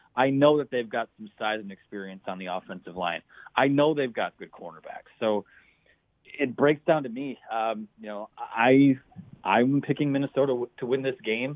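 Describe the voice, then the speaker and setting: Here an unremarkable speaking voice moves at a moderate pace with ordinary pitch variation and big swings in loudness. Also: man, medium pitch for a man. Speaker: college football writer. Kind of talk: radio interview. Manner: upbeat.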